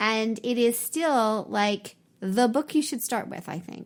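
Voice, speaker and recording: In a very clean recording with a silent background, a woman speaks with an American accent. Her pitch is high, with ordinary variation. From San Francisco Bay Area, California. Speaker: podcast host and law professor. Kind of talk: interview conversation.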